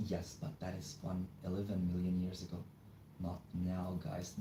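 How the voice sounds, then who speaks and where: A man's very deep, low, somewhat breathy voice with a dark, mellow tone and a non-native accent, at a moderate pace, with audible room echo. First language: not English. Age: 20s. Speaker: live streamer. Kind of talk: casual live stream chat. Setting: home, live stream. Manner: casual, chatty.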